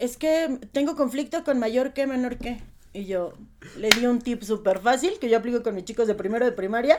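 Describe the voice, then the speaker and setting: A woman talks at a high pitch and a moderate pace with ordinary pitch variation. Noticeable background noise is present. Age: 30s. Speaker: primary school teacher. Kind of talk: casual interview.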